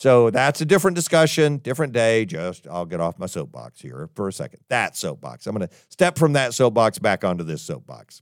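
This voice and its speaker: A man with vocal fry and a medium pitch talks at a fairly quick pace with hardly any pauses, his pitch swinging very widely and his loudness swinging a lot, in a dry, close recording with no echo that is very clean with a silent background. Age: 60s. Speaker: podcast host and college president. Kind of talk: monologue podcast commentary.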